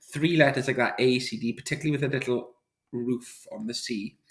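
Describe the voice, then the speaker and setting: Somewhat breathy, a man talks at a moderate pace. His pitch sits in the medium range. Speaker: maths teacher. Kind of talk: tutorial. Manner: casual, with fillers.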